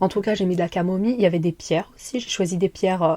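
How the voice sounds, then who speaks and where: This very clean recording with a silent background features a woman with medium pitch and a dark, mellow tone. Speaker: podcast host. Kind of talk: casual chat. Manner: fast; animated.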